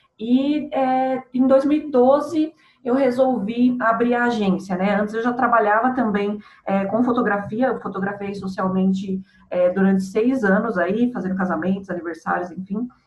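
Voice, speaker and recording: With a São Paulo accent, a woman talks fairly slowly at a fairly high pitch with ordinary pitch variation, over noticeable background noise. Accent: Brazilian Portuguese, São Paulo. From Santo André, São Paulo, Brazil. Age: 30s. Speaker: marketing agency owner. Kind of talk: casual interview.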